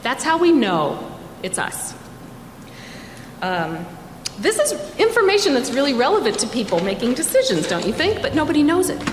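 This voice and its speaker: A woman speaks at a moderate pace with a high pitch and very wide pitch swings, leaving long, frequent pauses. Audible room echo and noticeable background noise fill the recording. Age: 60s. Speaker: librarian and climate educator. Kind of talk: presentation talk. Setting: studio.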